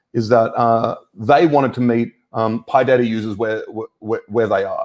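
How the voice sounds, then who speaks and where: Speaking with an Australian accent, a man at medium pitch keeps a moderate pace and fairly even intonation. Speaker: data science evangelist. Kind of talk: tech talk. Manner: halting, many fillers.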